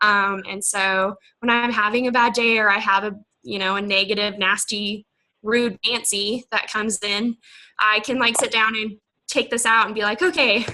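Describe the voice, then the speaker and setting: With a bright, sharp tone and fairly high pitch, a woman speaks at a moderate pace with fairly even intonation. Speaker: team member sharing business planner. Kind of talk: video team call presentation.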